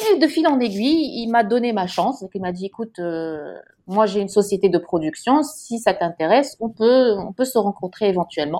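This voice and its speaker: A woman's unremarkable speaking voice, medium in pitch, with lively intonation at a moderate pace, on a very clean recording with a silent background. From Morocco, Casablanca. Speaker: chef and TV presenter. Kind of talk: interview.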